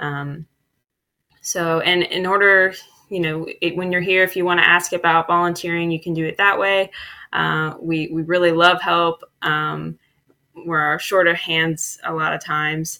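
A woman speaks at a fairly slow pace with a fairly low pitch. Her tone is bright and sharp, her intonation monotone and flat. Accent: Midwestern American. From Dayton, Ohio. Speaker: community development worker. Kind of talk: casual interview.

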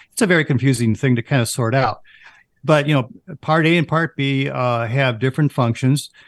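A man's normal speaking voice, medium-pitched with ordinary pitch variation, very even loudness, a moderate pace and a dry, close sound with no echo. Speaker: financial advisor. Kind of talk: radio show discussion.

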